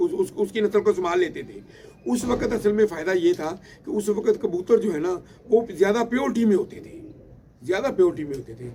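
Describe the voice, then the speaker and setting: Against noticeable background noise, a man with a high pitch talks at a moderate pace with lively intonation. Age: 60s. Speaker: pigeon breeder. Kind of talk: storytelling. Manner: halting, many fillers and repetitions.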